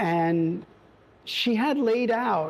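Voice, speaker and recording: The speaker, with a New York accent, shows ordinary pitch variation. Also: man. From New York, the Bronx. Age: 60s. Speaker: family bakery owner. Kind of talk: testimony. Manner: halting, many fillers.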